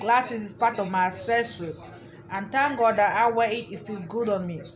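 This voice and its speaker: Speaking at a fairly quick pace with ordinary pitch variation, a woman is heard amid noticeable background noise and audible room echo. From Africa. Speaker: YouTuber. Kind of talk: casual vlog monologue. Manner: repetitive, halting.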